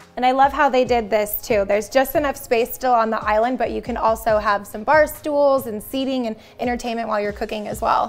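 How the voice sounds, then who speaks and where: Fairly even intonation at a fairly quick pace, with hardly any pauses. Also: woman. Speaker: home tour host. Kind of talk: casual tour commentary. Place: home room.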